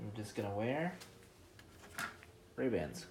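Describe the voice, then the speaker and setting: The speaker is a man with a medium pitch. Noticeable background noise and audible room echo fill the recording. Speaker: shoemaking video maker. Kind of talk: casual tutorial. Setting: garage workshop. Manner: rambling, casual. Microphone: voice muffled by dust mask.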